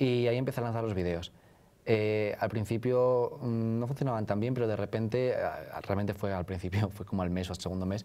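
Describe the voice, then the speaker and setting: Speaking at a fairly quick pace, a man with a Spanish accent has a fairly low, dark, mellow voice and fairly even intonation. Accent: Peninsular Spanish. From northern Spain. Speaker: author; interviewee. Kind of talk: interview. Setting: live event at a university. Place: studio. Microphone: lapel.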